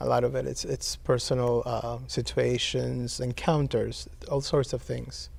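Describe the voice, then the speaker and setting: With a Spanish accent, a man talks at a fairly slow pace. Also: hardly any pauses. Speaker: poet. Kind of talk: interview. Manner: halting.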